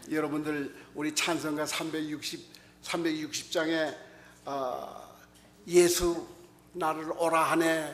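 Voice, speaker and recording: Amid audible room echo and noticeable background noise, a man with a fairly high voice talks at a very slow pace in a monotone, flat intonation, with long, frequent pauses. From North Korea, North Pyongan province. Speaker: pastor. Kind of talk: sermon.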